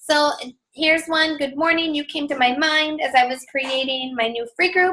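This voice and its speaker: A woman uses a raised, projected voice with a bright, sharp tone. She speaks at a moderate pace against a quiet background. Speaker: fitness coach team leader. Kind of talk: team training call. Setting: group call. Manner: animated.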